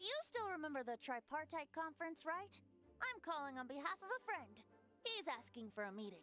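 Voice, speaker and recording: Over clear music in the background, a put-on character voice moves at a fairly quick pace. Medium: game stream. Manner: playful, lighthearted.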